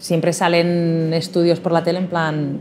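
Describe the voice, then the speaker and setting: This woman's voice sits fairly low in pitch. Light background noise runs underneath. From Spain. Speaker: toy shop owner; interviewee. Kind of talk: interview. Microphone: lapel.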